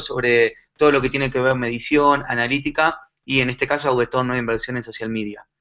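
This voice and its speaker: A man talks at a moderate pace in a medium pitch. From Argentina. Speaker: digital marketing consultant. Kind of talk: conference talk. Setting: live online conference. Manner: many filler pauses.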